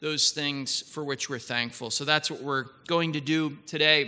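A man speaks in a bright, sharp tone with fairly even intonation. The background is quiet. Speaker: chapel leader. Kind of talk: chapel welcome and scripture reading.

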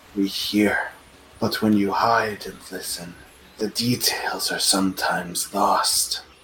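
Using a put-on character voice, a man talks at a fairly low pitch and a fairly slow pace. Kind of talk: broken pidgin speech. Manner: cryptic, sly.

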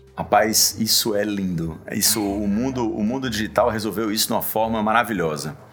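A man with fairly low pitch talks at a moderate pace with ordinary pitch variation and hardly any pauses over noticeable background noise. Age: 40s. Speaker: tech entrepreneur and investor. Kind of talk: interview.

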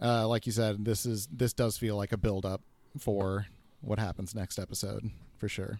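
An unremarkable speaking voice from a man with an American accent, fairly low-pitched and fairly even in intonation, at a moderate pace. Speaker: guest co-host. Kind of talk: casual chat. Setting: remote call.

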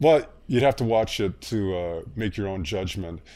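A man's ordinary speaking voice, fairly low in pitch, on a very clean recording with a silent background. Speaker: former corporate sustainability executive and author. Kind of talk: interview, conversational.

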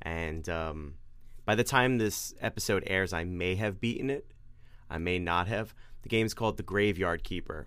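Someone speaks with a New York accent at a moderate pace with ordinary pitch variation. The recording is very clean, with a silent background. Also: man. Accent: New York, drops R's. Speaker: podcast co-host. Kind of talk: casual chat.

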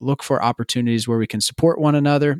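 An ordinary speaking voice, a man at a fairly quick pace with fairly even intonation, dry and close with no echo, on a very clean recording with a silent background. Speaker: podcast host. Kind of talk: casual interview chat.

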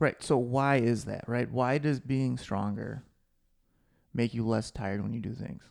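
In a normal speaking voice, the speaker goes at a fairly slow pace with fairly even intonation, on a very clean recording with a silent background. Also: man, medium pitch for a man. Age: 40s. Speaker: fitness podcast co-host. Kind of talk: casual chat.

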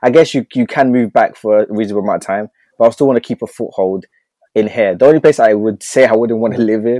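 In a dry, close sound with no echo, a man speaks fast at a fairly low pitch, with a dark, mellow tone and ordinary pitch variation.

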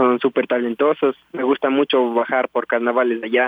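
With monotone, flat intonation, a man speaks at a medium pitch. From Ecuador, Tulcán, Carchi province. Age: 20s. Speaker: professional cyclist. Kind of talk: radio interview.

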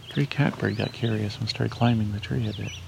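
Through noticeable background noise, a man speaks in a fairly low pitch. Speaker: nature sound recordist and birder. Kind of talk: live birding field commentary. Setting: outdoors at a wetland.

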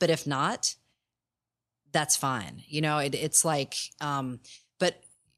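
A woman's very deep, low voice with ordinary pitch variation, on a very clean recording with a silent background. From Kentucky. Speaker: filmmaker and photographer. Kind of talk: casual interview. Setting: live in an art studio. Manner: hesitant, many fillers.

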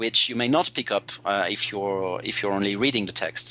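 Bright and sharp in tone, a man talks at a moderate pace. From French-speaking Switzerland. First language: French. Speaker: translator. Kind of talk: casual chat. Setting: remote call.

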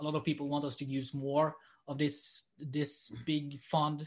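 Against a quiet background, a man speaks fairly slowly in a monotone, flat intonation at a fairly high pitch. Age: 20s. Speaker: podcast guest. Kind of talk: casual chat. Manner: halting.

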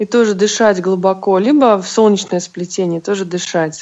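A normal speaking voice from a woman, medium in pitch, with ordinary pitch variation and a moderate pace. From Russia, St Petersburg. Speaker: bodywork practitioner and massage therapist. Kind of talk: interview.

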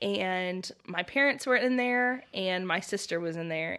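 Against a quiet background, a woman with a fairly low pitch and a bright, sharp tone speaks at a moderate pace. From US South, Oklahoma and Louisiana. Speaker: podcast team member, faith story guest. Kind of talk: casual chat, personal testimony.

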